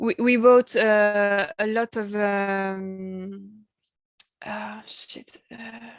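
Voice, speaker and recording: A woman with a French accent speaks very slowly at a medium pitch. Her intonation is fairly even, but her loudness swings widely. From France. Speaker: musician. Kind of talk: interview. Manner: halting, many hesitations.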